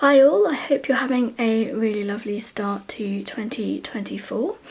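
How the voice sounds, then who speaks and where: Against noticeable background noise, a quiet woman speaks at a fairly slow pace. Her pitch is fairly high, with ordinary variation. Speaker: outdoor gear reviewer. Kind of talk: casual talk to camera. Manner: quiet, slow.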